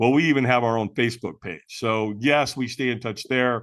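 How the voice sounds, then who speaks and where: An unremarkable speaking voice with an American accent talks at a moderate pace over a quiet background, its intonation fairly even. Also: man. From US West Coast, Long Beach, California. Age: 60s. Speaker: personal development speaker. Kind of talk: interview storytelling.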